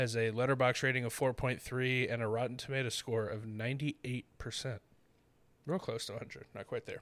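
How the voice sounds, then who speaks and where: In an ordinary speaking voice, a man of medium pitch talks at a fairly quick pace with fairly even intonation. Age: 20s. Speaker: movie podcast host. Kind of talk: casual chat.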